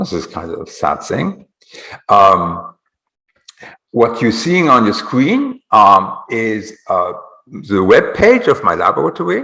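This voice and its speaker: A man speaks at a very slow pace. His pauses are long and frequent. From Switzerland, Geneva. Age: 60s. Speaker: biology professor. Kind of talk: lecture. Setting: Zoom webinar. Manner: halting, many fillers.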